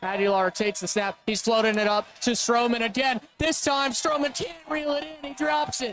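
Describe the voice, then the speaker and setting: Music plays in the background. A man with a high pitch talks with lively intonation. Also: moderate pace. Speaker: play-by-play announcer. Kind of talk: live commentary. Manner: loud.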